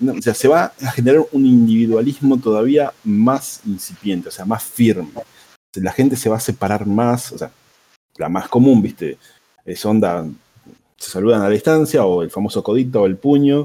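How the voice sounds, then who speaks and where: In a Rioplatense accent, a man speaks with a dark, mellow tone, ordinary pitch variation and big swings in loudness. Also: medium pitch for a man, moderate pace. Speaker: podcast guest. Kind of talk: casual chat.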